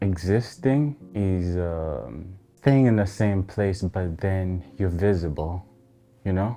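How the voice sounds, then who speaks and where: A man with a very deep, low voice and a non-native accent speaks at a very slow pace. His pitch varies in an ordinary way, with music playing in the background. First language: not English. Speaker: interview guest. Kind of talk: interview. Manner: reflective, hesitant.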